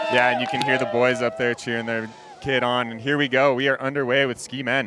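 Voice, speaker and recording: Over music in the background, a man with an American accent talks at a very fast pace and a medium pitch. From USA. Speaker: freeride ski commentator. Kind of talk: live commentary. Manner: animated.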